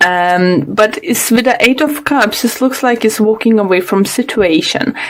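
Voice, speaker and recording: With a non-native accent, a woman speaks at a moderate pace in a fairly high pitch with lively intonation and very even loudness over noticeable background noise. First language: not English. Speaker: tarot reader. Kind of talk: tarot reading monologue. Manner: halting, many fillers.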